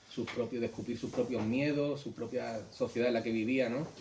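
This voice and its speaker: Over noticeable background noise, a man talks at a medium pitch in a monotone, flat intonation. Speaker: illustrator. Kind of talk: book presentation talk. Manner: halting.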